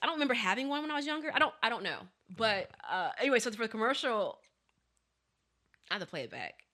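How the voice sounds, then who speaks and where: A woman with an American accent, a bright, sharp tone and lively intonation. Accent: lacks southern drawl. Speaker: podcast co-host. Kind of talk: casual chat. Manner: fast.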